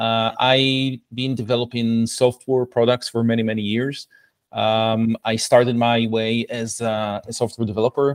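A man's medium-pitched voice with an Israeli accent, flat and monotone, at a fairly slow pace. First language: Hebrew. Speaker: product coach. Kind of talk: casual interview.

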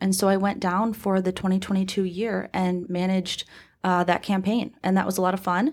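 Speaking at a moderate pace, a woman with an ordinary speaking voice holds a medium pitch and fairly even intonation on a very clean recording with a silent background. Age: 20s. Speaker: political party executive director. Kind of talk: interview. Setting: studio.

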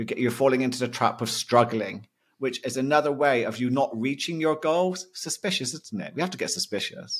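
In a very clean recording with a silent background, a man with a British accent speaks at a moderate pace, with medium pitch and lively intonation. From Britain. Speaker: mindset coach and hypnotherapist. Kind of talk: interview conversation.

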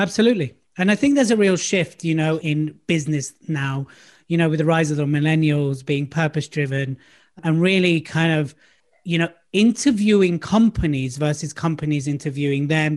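Speaking fairly quickly with a London accent, a man has a fairly high pitch and ordinary pitch variation. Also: quiet background. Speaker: public speaking coach. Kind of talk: casual chat. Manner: animated.

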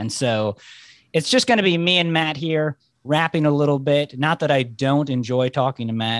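In a plain, everyday voice, a man talks at a moderate pace with ordinary pitch variation. The very clean recording has a silent background and a dry, close sound with no echo. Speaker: co-host of the panel. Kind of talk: casual chat.

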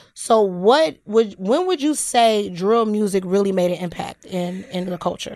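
An unremarkable speaking voice moves at a fairly slow pace with hardly any pauses and ordinary pitch variation. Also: woman, medium pitch for a woman. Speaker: podcast host. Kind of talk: casual chat.

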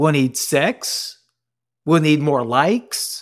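Speaking very slowly with an American accent, a man uses a fairly high pitch. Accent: Cajun, thicker when excited. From New Orleans, US South. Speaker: military chaplain and performance coach. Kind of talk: casual interview conversation. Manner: animated, gets excited.

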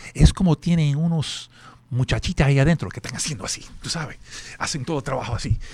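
Somewhat breathy and fairly high-pitched, a man talks at a fairly quick pace with lively intonation. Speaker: zoo spokesperson. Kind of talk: casual chat.

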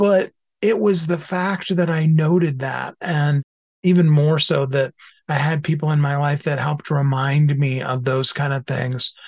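This man speaks at a fairly slow pace in a somewhat breathy, fairly high voice with fairly even intonation. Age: 50s. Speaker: author and minister. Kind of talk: interview.

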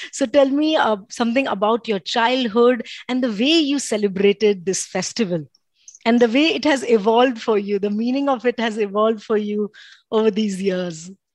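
A woman with an Indian accent speaks at a fairly high pitch with ordinary pitch variation. Her tone is warm and enthusiastic. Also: moderate pace. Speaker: podcast host. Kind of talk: casual interview. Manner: warm, enthusiastic.

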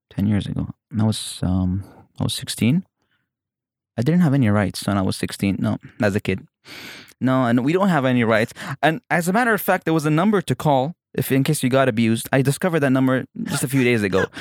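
A man with an Emirati accent, very wide pitch swings, very even loudness and a fairly quick pace, in a dry, close sound with no echo on a very clean recording with a silent background. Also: medium pitch for a man. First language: Arabic. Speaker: comedian. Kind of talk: casual chat. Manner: halting.

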